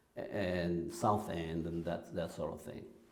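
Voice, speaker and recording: A man speaks with a dark, mellow tone. Room echo is audible. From Kenya. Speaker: church music director. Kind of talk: interview.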